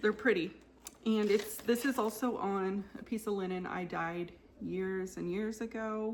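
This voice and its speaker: Against noticeable background noise, a woman with a fairly high pitch speaks at a fairly slow pace in fairly even intonation. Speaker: cross stitch video creator. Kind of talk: casual show-and-tell chat.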